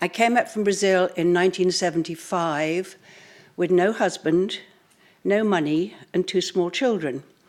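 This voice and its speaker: With a British accent, a woman talks at a fairly slow pace and medium pitch, with ordinary pitch variation and very even loudness. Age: 70s. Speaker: fashion entrepreneur. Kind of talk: conference talk. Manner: hesitant, frequent ums.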